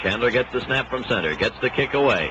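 Noticeable background noise fills the clip. Over it, a man speaks. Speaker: radio sports announcer. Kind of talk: 1962 radio sports broadcast, live play-by-play commentary. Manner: brisk, steady, crisp play-by-play delivery; formal, authoritative 1960s broadcaster tone. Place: stadium. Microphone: old recording.

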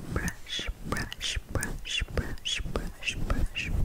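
A woman whispers. She is soft-spoken. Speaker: ASMR creator. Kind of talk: ASMR whispered chat. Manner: soft whispered repetition close to mic. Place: home room. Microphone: studio mic.

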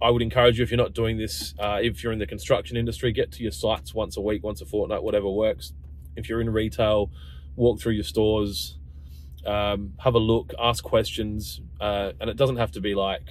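The voice carries vocal fry over light background noise. The sound is dry, with no echo. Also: man, fairly low pitch for a man. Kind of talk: casual vlog chat. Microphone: phone near.

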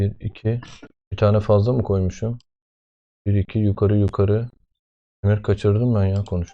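Over a quiet background, a man with a dark, mellow tone and fairly low pitch speaks in a flat monotone at a moderate pace, leaving long, frequent pauses. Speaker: father making coding videos with his child. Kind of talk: casual screen-recorded tutorial.

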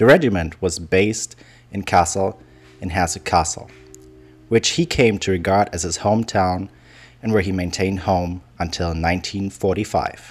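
A man's very deep, low voice over music in the background, fairly slow in pace, with ordinary pitch variation. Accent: German. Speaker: history video narrator. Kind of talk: scripted educational narration.

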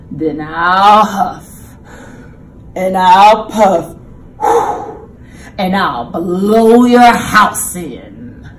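A female-sounding put-on character voice growls at a middle pitch and a very slow pace, broken by long, frequent pauses. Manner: growling.

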